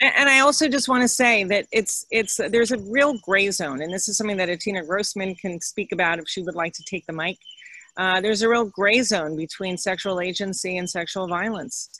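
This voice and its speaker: A woman with an American accent and an unremarkable speaking voice, medium pitch, ordinary pitch variation and a fairly quick pace. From New York (Upper West Side). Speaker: lecturer, author. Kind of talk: lecture Q&A.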